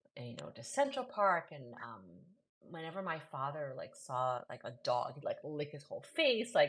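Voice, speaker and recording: With a New York accent, this speaker keeps a moderate pace while the loudness swings widely. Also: woman. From New York City. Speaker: poet and host. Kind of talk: casual chat. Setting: live video.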